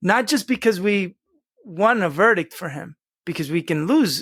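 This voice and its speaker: A man speaks in a high pitch with a Spanish accent. The recording is very clean, with a silent background. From US, Spanish-speaking home. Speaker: lawyer, Iraq war veteran. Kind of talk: podcast interview.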